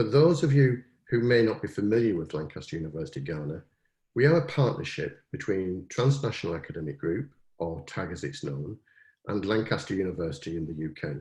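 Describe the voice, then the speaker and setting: A man with a British accent speaks at a fairly quick pace in a very deep, low voice that is somewhat breathy and swings very widely in pitch, over a quiet background. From Britain. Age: old. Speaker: university provost. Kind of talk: formal welcome address. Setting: webinar. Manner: formal.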